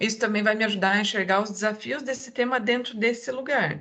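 In a southern Brazilian accent, a woman speaks at a fairly quick pace. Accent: southern Brazilian Portuguese, noticeable. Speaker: diversity and inclusion manager. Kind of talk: podcast interview.

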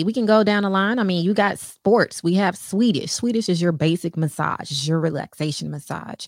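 A woman with a Southern US accent, animated in tone, with lively intonation, a fairly quick pace and hardly any pauses. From Texas. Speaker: massage therapist. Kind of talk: casual chat. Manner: assertive.

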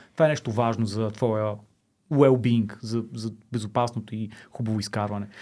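The recording is very clean, with a silent background. The speaker is a man. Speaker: podcast host. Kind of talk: casual interview chat.

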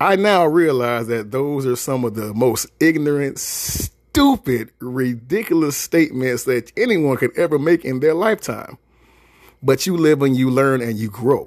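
A man speaks at medium pitch with ordinary pitch variation. His tone is animated. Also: fairly slow pace. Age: 40s. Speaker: podcast host. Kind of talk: casual monologue.

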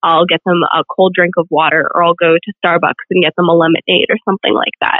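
A woman with an American accent talks at a fairly quick pace and medium pitch in an ordinary speaking voice. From Virginia, small town. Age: 20s. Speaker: pageant titleholder and nursing student. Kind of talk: interview.

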